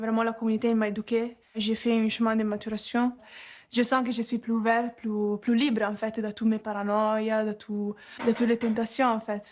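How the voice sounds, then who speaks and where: A woman in monotone, flat intonation, at a fairly high pitch and a moderate pace. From Italy. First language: Italian (speaking French). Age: 20s. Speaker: recovering addiction community resident. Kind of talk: testimony.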